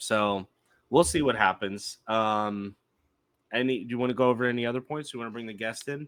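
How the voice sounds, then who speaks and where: On a very clean recording with a silent background, a man has an ordinary speaking voice at medium pitch. He talks at a fairly quick pace with ordinary pitch variation and big swings in loudness. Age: 30s. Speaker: podcast co-host. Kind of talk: casual chat.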